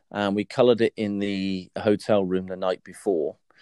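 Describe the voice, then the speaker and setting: A man with a very deep, low, dark and mellow voice speaks at a moderate pace in a very clean recording with a silent background and a dry, close sound with no echo. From South West England. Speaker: competition hairdresser. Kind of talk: interview.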